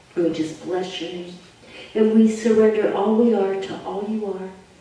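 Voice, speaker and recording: Strong room echo and light background noise accompany a woman who speaks fairly slowly with fairly even intonation. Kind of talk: spoken prayer. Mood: fervent, emotional. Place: church.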